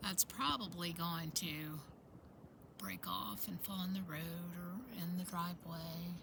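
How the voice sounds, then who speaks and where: With a plain, everyday voice, a woman speaks at a fairly low pitch with ordinary pitch variation. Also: fairly slow pace. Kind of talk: casual talk to camera. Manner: relaxed, rambling.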